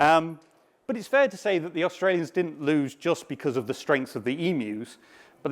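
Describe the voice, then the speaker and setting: There is a British accent in this man's speech. His pitch is fairly high. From UK. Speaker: software developer, conference speaker. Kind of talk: conference talk.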